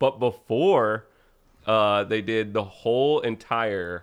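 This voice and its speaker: A man with a fairly low pitch speaks in an ordinary speaking voice, his intonation fairly even against a quiet background. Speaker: actor. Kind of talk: casual chat.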